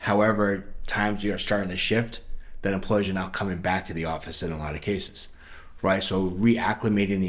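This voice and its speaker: A man talks at a very fast pace in a fairly low pitch. Audible echo from the room surrounds his voice. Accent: New York. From New York. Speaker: sales director at a software company. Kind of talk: podcast interview.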